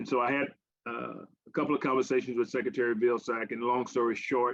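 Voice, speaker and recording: Talking at a very fast pace in a Southern US accent, a man keeps a medium pitch with monotone, flat intonation. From US South, Arkansas. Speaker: government agricultural advisor. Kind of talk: invited talk to a farmers' forum. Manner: halting, many fillers and repeats.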